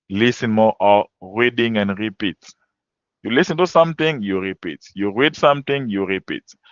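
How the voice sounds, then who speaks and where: A man with a French accent, medium pitch, moderate pace and lively intonation. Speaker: French language teacher. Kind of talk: webinar lecture.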